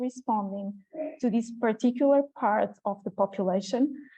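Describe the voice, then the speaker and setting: A woman with a normal speaking voice and a fairly high pitch keeps fairly even intonation at a moderate pace. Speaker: public health communicator. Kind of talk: conference presentation; Q&A answer.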